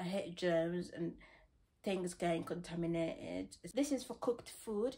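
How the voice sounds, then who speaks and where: With a northern English accent, a woman talks at a fairly slow pace with lively intonation. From West Yorkshire, England. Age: young. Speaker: student haul vlogger. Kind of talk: casual talk to camera, shopping haul. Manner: chatty, excitable. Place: home room. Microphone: phone near.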